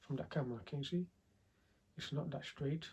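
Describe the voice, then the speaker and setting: Quiet and somewhat breathy, a man's fairly high voice has a dark, mellow tone and fairly even intonation. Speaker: 3D visualization coach. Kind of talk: tutorial. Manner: halting.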